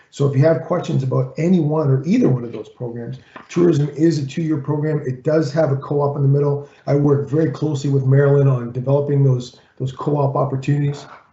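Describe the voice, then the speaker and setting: A fairly high-pitched man at a very fast pace, with hardly any pauses, monotone, flat intonation and noticeable background noise. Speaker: college employer relations consultant and rugby coach. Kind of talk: presentation.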